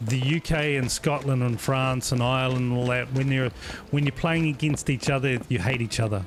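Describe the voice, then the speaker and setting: A moderate pace with a New Zealand accent. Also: man. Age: old. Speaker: gaming streamer. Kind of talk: live gameplay stream chat. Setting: live stream. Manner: casual, chatty.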